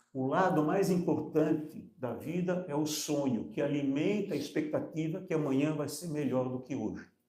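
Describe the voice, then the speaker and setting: A man talks at a fairly slow pace, and audible room echo can be heard. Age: 70s. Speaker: entrepreneur. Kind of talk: panel discussion.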